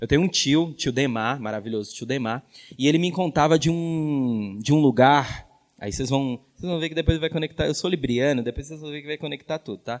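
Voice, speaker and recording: A man in a plain, everyday voice speaks at a fairly quick pace with a fairly high pitch, ordinary pitch variation and big swings in loudness. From northern Minas Gerais, Brazil. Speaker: educator and communicator. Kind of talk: panel talk.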